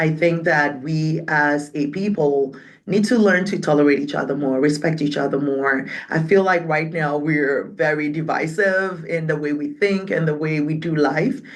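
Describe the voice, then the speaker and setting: A woman with a Ghanaian accent speaks at a moderate pace in a very deep, low voice with ordinary pitch variation, and the room echo is audible. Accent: Ghanaian English, British-leaning. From Ghana, raised in Accra (Ga-speaking city). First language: Twi/Ewe/Ga (multilingual Ghanaian). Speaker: community organization leader. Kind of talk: interview conversation.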